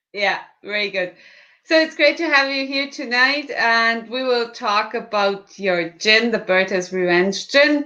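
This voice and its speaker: A woman speaks with a German accent and lively intonation. Her tone is bright and sharp. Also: fairly high pitch for a woman, fairly slow pace. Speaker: livestream host. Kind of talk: livestream interview.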